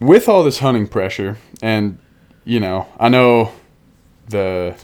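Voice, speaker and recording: In a General American accent, a man with a fairly low pitch and a plain, everyday voice speaks with fairly even intonation on a very clean recording with a silent background. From Denver/Boulder, Colorado, US. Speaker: podcast host. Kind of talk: casual chat.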